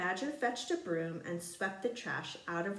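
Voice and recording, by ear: Lively intonation marks someone reading aloud in a natural voice.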